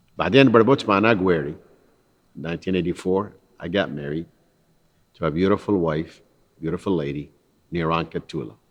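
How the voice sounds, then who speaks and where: A man's very deep, low voice with long, frequent pauses against a quiet background. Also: ordinary pitch variation, fairly quick pace. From northern Iraq, Nineveh plain. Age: 60s. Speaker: immigrant entrepreneur, school founder. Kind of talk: personal testimony.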